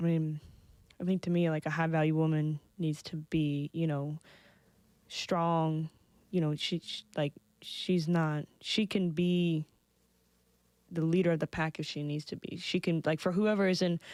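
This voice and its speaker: A soft-spoken woman with a fairly low pitch talks at a fairly slow pace, with monotone, flat intonation and long, frequent pauses. The sound is dry and close with no echo, on a very clean recording with a silent background. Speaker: podcast guest. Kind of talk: casual chat. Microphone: too quiet.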